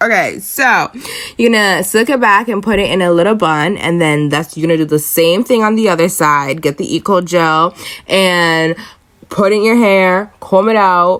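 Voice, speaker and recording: A woman speaks at a moderate pace in an unremarkable speaking voice. Her pitch sits in the medium range, with ordinary pitch variation. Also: very even loudness. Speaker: friend doing comedic voiceover. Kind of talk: humorous voiceover commentary on hair tutorial. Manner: playful, sassy, casual.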